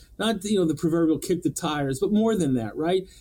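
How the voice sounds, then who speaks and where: This voice carries an American accent and a dark, mellow tone. Its pitch varies in an ordinary way. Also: man. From Montana. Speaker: auto dealer association director. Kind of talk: interview.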